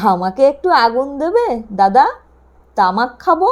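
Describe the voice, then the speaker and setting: In a put-on character voice, a woman growls at a high pitch with very wide pitch swings. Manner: feigning politeness.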